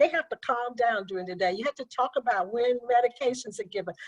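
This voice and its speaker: The woman's voice comes across dry and close, with no echo at all. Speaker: attorney. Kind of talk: webinar presentation. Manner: fast.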